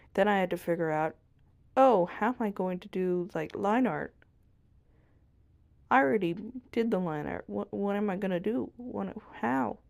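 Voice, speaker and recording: Soft-spoken and at medium pitch, a woman talks with lively intonation and long, frequent pauses. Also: moderate pace. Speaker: art channel creator. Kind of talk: drawing tutorial voiceover. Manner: soft-spoken, very quiet; casual, self-talking.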